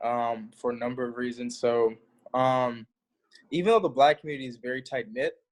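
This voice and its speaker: A man speaks at a moderate pace. He talks in a St. Louis accent. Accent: St. Louis accent, prominent when relaxed. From US Midwest, St. Louis, Missouri. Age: 20s. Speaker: university student. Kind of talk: interview.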